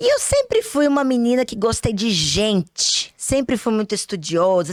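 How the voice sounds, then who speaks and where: Speaking at a moderate pace with a Minas Gerais accent, a woman has a fairly high pitch, captured in a dry, close sound with no echo. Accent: Minas Gerais (mineiro) accent, kept. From Brazil, Minas Gerais (Belo Horizonte). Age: 40s. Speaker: pharmacist and instructor. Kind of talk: online masterclass lecture.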